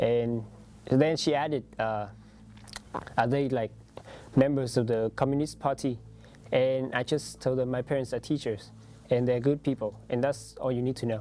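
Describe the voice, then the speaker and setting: Someone with a Vietnamese accent speaks at a moderate pace, leaving long, frequent pauses. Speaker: international student. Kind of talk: interview testimony. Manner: halting, many fillers.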